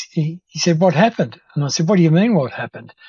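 Against a quiet background, a man with a somewhat breathy voice and ordinary pitch variation is heard in a dry recording with no echo. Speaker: interview guest, lawyer. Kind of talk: interview answer. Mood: amused, reminiscing. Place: home room. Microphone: video call.

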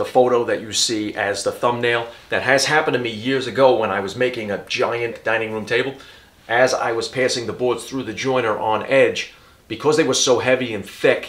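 The speech moves at a fairly quick pace. Its intonation stays fairly even. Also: man. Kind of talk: tutorial. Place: garage.

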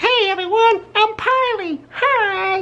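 In a squeaky, put-on character voice, the speaker talks at a fairly slow pace with an extremely high pitch. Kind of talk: casual vlog chat. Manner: silly, cheerful.

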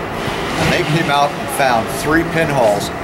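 A man at a moderate pace with ordinary pitch variation, over loud background noise. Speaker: waterproofing trainer. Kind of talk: training talk to workers. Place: street. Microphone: headset.

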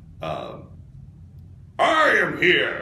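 Someone performs a put-on character voice, with a slight echo in the sound.

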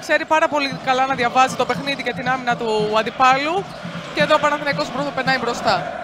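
Against noticeable background noise, a woman with a high voice speaks at a fairly quick pace in a confident tone, raised and projected, with ordinary pitch variation. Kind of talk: sports commentary. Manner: analytical, confident, praising players.

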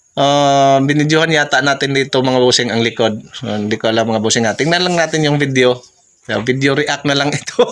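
With a Visayan accent, a man talks at a fairly quick pace in a fairly high pitch with ordinary pitch variation. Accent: Visayan-accented Tagalog. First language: Cebuano (Bisaya) (speaking Tagalog). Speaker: vlogger. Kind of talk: casual vlog narration. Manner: halting, many fillers.

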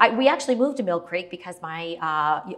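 A woman speaks at a fairly quick pace. Her tone is fairly bright. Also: fairly low pitch for a woman, lively intonation.

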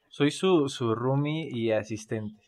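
A man speaks at a slow pace with a slightly mellow tone. His pitch is medium, with ordinary pitch variation.

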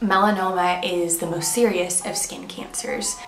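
A woman's fairly low-pitched voice amid noticeable background noise. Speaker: vlogger. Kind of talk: casual vlog chat.

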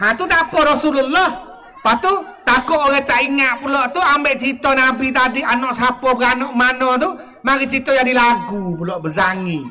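This man talks at a fairly quick pace. His raised, projected voice sits at an extremely high pitch. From Thailand. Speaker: religious teacher and local historian; religious teacher. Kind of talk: history talk. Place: hall. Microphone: handheld.

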